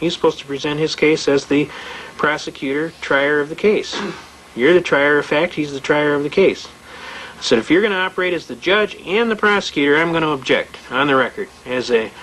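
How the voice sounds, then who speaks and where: A man at a fairly quick pace with ordinary pitch variation, amid noticeable background noise. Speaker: constitutional rights lecturer. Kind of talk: seminar lecture with anecdotes. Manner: fast; animated storytelling.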